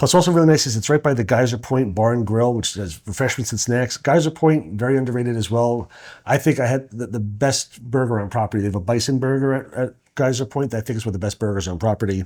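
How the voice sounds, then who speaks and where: Talking at a very fast pace, a man with a slight New York accent has a medium pitch and ordinary pitch variation. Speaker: co-host and vacation rental business owner. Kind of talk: casual podcast chat. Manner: halting with frequent repeated words.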